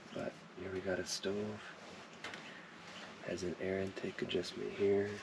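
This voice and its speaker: Over noticeable background noise, a soft-spoken man talks at a fairly slow pace in a very deep, low voice with monotone, flat intonation. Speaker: outdoor gear reviewer. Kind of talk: product review.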